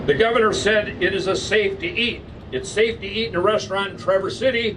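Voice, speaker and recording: A man with an American accent speaks at a moderate pace. His pitch is high, and there is noticeable background noise. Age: 70s. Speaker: barber. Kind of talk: press conference statement.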